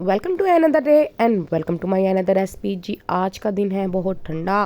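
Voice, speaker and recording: A woman's medium-pitched voice, dark and mellow in tone, at a moderate pace. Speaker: cooking channel host. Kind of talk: cooking tutorial. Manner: chatty, conversational.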